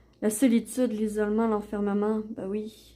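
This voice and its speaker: A woman speaks in a fairly high voice with a dark, mellow tone. She has a Quebec accent, on a very clean recording with a silent background. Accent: Québécois. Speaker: oracle card reader, YouTuber. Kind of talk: product unboxing and card reading. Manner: hesitant, many fillers.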